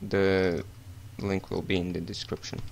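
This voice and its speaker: This man talks rather slowly. He has a non-native accent. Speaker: game modding tutorial maker. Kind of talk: software tutorial narration.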